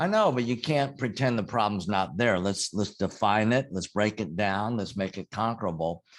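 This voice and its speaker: Against a quiet background, a man speaks at a moderate pace. His fairly low pitch shows ordinary variation. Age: 60s. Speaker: business coach and CEO. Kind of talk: interview. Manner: halting, many fillers and restarts.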